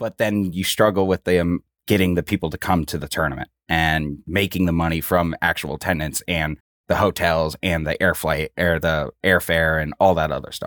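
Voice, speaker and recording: A man with an American accent speaks at a moderate pace in a very deep, low voice. The sound is dry and close with no echo, and the recording is very clean with a silent background. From Minnesota, US Midwest. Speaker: soccer communications staffer. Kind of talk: casual interview.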